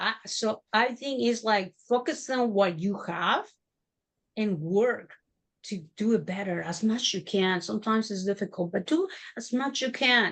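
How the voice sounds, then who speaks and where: The pace is fairly slow, with a Mexican accent. Pitch variation is ordinary. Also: woman. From Mexico. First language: Spanish. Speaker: entrepreneur. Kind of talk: interview testimony. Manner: halting.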